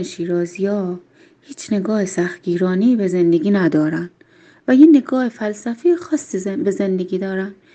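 A woman's medium-pitched voice, dark and mellow in tone, with lively intonation, a Shirazi accent and a moderate pace. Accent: Shirazi Persian. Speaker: local interviewee. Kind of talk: recorded voice message answers. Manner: thoughtful.

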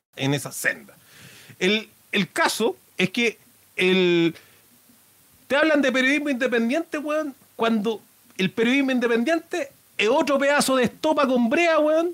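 A man with a Chilean accent speaks at an extremely high pitch, with very wide pitch swings. His pace is fairly slow, and the sound is dry and close with no echo. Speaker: podcast host. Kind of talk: casual monologue. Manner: halting; animated.

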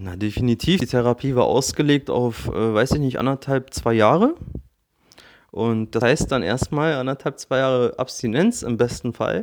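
On a very clean recording with a silent background, a man with an ordinary speaking voice talks at medium pitch and a moderate pace, with ordinary pitch variation. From Berlin, Germany. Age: 30s. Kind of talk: casual chat.

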